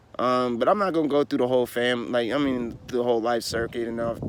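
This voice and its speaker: There is noticeable background noise as a man speaks. He moves at a fairly quick pace with ordinary pitch variation. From US and Germany (military family). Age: 20s. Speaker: life coach / vlogger. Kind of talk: personal life story monologue. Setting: outdoors. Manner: casual, filler-heavy.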